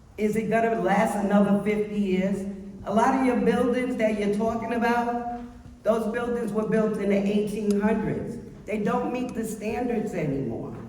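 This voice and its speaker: A fairly high female voice with fairly even intonation, audible room echo and noticeable background noise. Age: 60s. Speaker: public housing resident. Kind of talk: public meeting testimony. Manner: impassioned.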